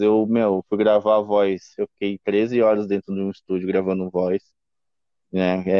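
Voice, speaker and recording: In a fairly low voice, a man speaks with monotone, flat intonation. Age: 30s. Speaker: punk band vocalist. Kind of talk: casual interview. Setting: remote call from home.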